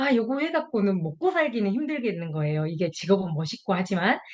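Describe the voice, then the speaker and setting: Speaking in a strong Jeolla accent, a woman moves at a fairly quick pace with very wide pitch swings. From Jeolla, South Korea. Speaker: health product distributor. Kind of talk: testimony.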